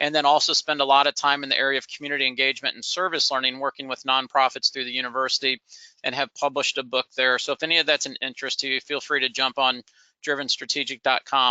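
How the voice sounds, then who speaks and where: A man speaks at a very fast pace in a fairly high voice. His intonation is monotone and flat. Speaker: nonprofit consultant and professor. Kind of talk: webinar presentation. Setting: online webinar.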